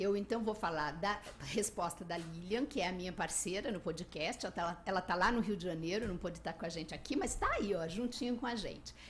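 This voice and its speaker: A woman at a fairly quick pace with hardly any pauses, over noticeable background noise. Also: medium pitch for a woman, ordinary pitch variation. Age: 60s. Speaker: travel podcaster and blogger. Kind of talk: radio interview.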